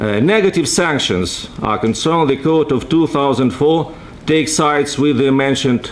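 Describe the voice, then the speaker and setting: A man's fairly high voice with a Russian accent and lively intonation at a moderate pace, amid noticeable background noise and audible room echo. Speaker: legal scholar. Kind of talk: conference talk. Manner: halting.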